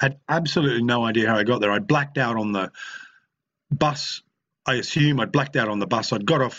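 In an Australian accent, a man talks with ordinary pitch variation. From Queensland, Australia (Brisbane). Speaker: recovery meeting speaker sharing his story. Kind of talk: recovery share (testimony). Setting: video call (online meeting). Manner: halting, many fillers and repetitions.

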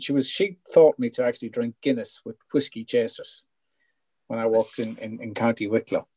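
This man has a northwest Irish accent and speaks at a moderate pace. The sound is dry and close, with no echo. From Ireland, North Leitrim. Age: 50s. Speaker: founder of a secular recovery group. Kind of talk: casual interview chat. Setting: video call.

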